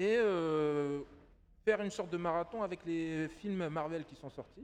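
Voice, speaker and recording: Ordinary pitch variation shapes a man's fairly high-pitched voice. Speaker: podcast co-host. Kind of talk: casual chat. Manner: animated.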